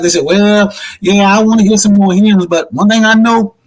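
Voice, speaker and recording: A man's high, animated voice with ordinary pitch variation. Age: 60s. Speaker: pastor. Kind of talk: panel discussion. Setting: virtual convention panel.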